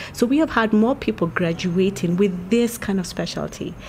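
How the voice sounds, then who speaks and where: Light background noise sits behind a woman with a Kenyan accent. She speaks at a moderate pace with ordinary pitch variation. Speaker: doctor. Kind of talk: interview. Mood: calm, informative. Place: street. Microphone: handheld.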